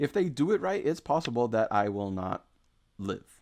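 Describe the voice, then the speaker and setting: A man speaks at a fairly slow pace in a medium pitch with ordinary pitch variation, on a very clean recording with a silent background. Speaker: go game streamer. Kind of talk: live game commentary. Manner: halting.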